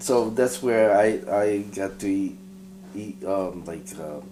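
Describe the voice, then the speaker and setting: The speaker talks at a very slow pace. Background noise is noticeable. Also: man. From New York City, born in Tokyo, Japan. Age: 50s. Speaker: guitar repairer and luthier. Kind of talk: casual interview. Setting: guitar shop. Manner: halting.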